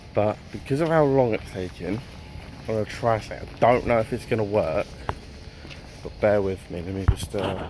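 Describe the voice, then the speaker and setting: Spoken at a moderate pace with an English accent, the voice has ordinary pitch variation and long, frequent pauses over noticeable background noise. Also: man, fairly low pitch for a man. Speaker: fitness vlogger. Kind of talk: casual vlog talk. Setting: in a shop.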